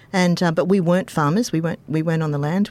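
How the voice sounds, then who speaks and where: A woman with an Australian accent speaks at a fairly low pitch with ordinary pitch variation. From Queensland, Australia. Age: 50s. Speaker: high school English teacher. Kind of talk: casual interview. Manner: animated.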